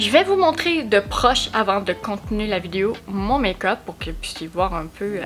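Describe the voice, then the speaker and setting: Music plays behind a woman with a Quebec accent who speaks at a fairly slow pace with lively intonation and hardly any pauses. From Quebec, Abitibi-Témiscamingue (Rouyn-Noranda). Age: 20s. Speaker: vlogger and makeup creator. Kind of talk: casual vlog introduction to camera.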